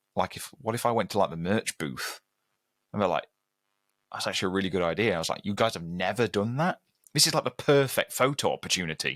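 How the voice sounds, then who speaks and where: A man with a British accent, fairly low in pitch, at a very fast pace, in a dry, close sound with no echo on a very clean recording with a silent background. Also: lively intonation. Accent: British, very un-American. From Britain. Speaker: metal guitarist. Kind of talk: podcast interview.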